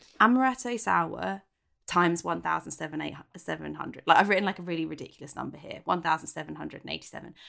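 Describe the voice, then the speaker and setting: Speaking at a very fast pace, a woman talks. Her volume rises and falls in big swings. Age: 30s. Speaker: podcast co-host. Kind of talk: casual chat. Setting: remote call from home.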